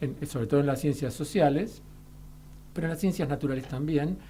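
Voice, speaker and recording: With a Rioplatense accent, a man talks fairly quickly in a fairly high, dark, mellow voice that is somewhat breathy, with lively intonation. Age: 60s. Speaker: molecular biologist. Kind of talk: radio interview.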